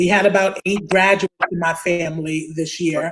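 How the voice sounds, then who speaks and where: With a strong Brooklyn accent, the speaker talks at a moderate pace. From Brooklyn, New York (Bed-Stuy). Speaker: attorney, community advocate. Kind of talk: interview on live online talk show. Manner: repetitive, stumbling restarts.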